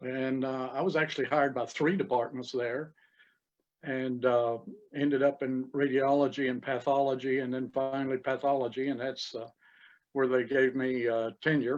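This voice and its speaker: A man with an Appalachian accent talks at a moderate pace and medium pitch with monotone, flat intonation. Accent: Appalachian Southern US. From East Tennessee. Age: 70s. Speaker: retired cell biologist. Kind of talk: casual interview.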